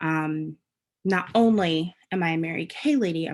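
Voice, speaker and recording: A woman with a New Jersey accent speaks at a fairly low pitch. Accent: New Jersey American. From US Northeast, New Jersey. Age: 20s. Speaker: direct sales director. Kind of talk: casual personal story to camera. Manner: hesitant, many fillers.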